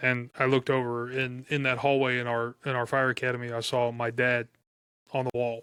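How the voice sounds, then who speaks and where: A loud man with an American accent, medium in pitch, monotone and flat, at a fairly quick pace. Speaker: firefighter. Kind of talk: casual chat.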